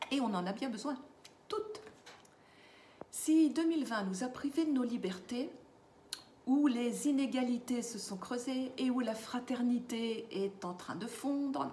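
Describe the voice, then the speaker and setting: In a room with audible echo, a woman with a high voice speaks very slowly, with ordinary pitch variation and long, frequent pauses. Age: 60s. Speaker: lifestyle vlogger for seniors. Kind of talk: casual vlog monologue. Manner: hesitant, with fillers.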